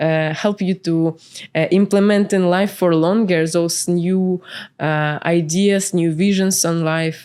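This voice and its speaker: With a Ukrainian accent, a woman talks at a fairly slow pace and fairly low pitch, her dark, mellow tone carrying fairly even intonation. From Ukraine, Kyiv. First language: Ukrainian or Russian. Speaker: entrepreneur and spiritual coach. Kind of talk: podcast interview. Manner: hesitant, many fillers.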